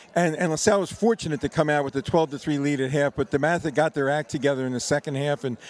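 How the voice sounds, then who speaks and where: Speaking fairly quickly with fairly even intonation, a man uses a plain, everyday voice at a fairly high pitch, the sound dry and close with no echo. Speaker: football historian guest. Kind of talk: radio interview during broadcast.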